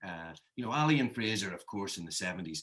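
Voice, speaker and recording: Lively intonation marks this man's speech in a Northern Irish accent. His pitch is fairly low. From Northern Ireland. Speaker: author. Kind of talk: interview. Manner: halting with fillers.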